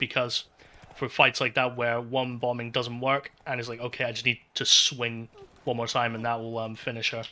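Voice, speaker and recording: Moderate pace and medium pitch mark this man's speech. He talks with a monotone, flat intonation. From Scotland. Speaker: speedrunner streamer. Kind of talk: live gameplay commentary. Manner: casual, halting with fillers.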